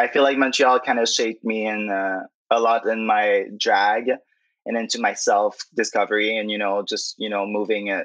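A man speaks at a moderate pace in a fairly low voice. His intonation stays flat and monotone. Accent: Quebec. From Quebec City. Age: 20s. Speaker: drag queen. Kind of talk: interview.

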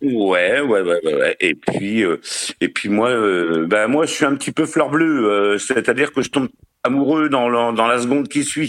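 An unremarkable speaking voice from a man, medium in pitch, with lively intonation at a fairly slow pace. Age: 50s. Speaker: caller to a relationship advice show. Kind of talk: casual chat.

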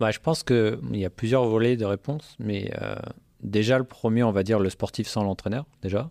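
Recorded with a dry, close sound and no echo, a man speaks in a fairly low pitch with a dark, mellow tone. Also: ordinary pitch variation, moderate pace. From French Alps, Hautes-Alpes. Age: 30s. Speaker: sports tech entrepreneur, former athlete. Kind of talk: casual interview chat. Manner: hesitant, many fillers and repetitions.

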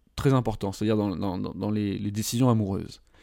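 The background is silent in this very clean recording. A man speaks fairly quickly. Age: 30s. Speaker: love coach and podcast host. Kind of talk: solo podcast monologue. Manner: casual, hesitant with fillers.

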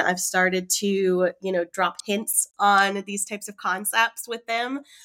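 A woman with a slight Southern US accent speaks at a fairly slow pace in a medium pitch. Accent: Southern US, slight drawl. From Raleigh, North Carolina, US South. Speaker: marketing operations manager. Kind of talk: interview conversation. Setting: remote call.

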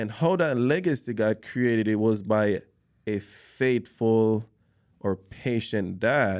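With a non-native accent, a man speaks very slowly at a medium pitch on a very clean recording with a silent background. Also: ordinary pitch variation. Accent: foreign-accented English. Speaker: podcast host. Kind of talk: casual interview.

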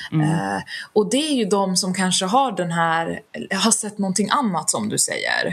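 Lively in intonation, this woman has vocal fry and a medium pitch, and she speaks at a moderate pace. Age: 30s. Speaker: HR specialist and founder of a stress-prevention organization. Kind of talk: interview.

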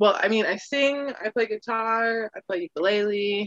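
A woman talks in a plain, everyday voice at a medium pitch and a fairly slow pace. Her intonation is lively, and the sound is dry and close with no echo. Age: 20s. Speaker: musician and artisan. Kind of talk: casual chat.

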